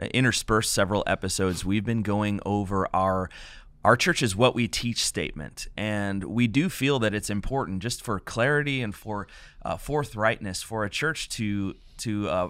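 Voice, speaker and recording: A man speaks with a fairly low pitch and ordinary pitch variation. The sound is dry with no echo, and the background is quiet. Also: moderate pace. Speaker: pastor hosting a podcast. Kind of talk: podcast introduction. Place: studio. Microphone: studio mic.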